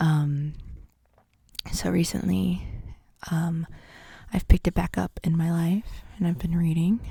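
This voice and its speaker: Soft-spoken and somewhat breathy, a woman talks at a fairly slow pace with long, frequent pauses. Her fairly low voice has a dark, mellow tone and fairly even intonation. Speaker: ASMR creator. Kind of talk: ASMR book haul.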